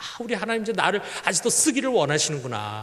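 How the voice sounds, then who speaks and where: A man's pitch swings very widely as he talks. Audible room echo and noticeable background noise fill the recording. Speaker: pastor. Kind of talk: sermon.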